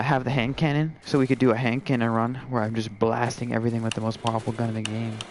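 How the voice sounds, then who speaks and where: Over noticeable background noise, a man with a medium pitch speaks very fast in a monotone, flat intonation. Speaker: gamer streamer. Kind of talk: casual chat. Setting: live stream.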